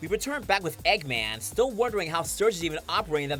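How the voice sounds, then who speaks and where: With music in the background, a man talks at a fairly quick pace with very wide pitch swings. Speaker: comic reviewer and voice actor. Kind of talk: comic review talk to camera.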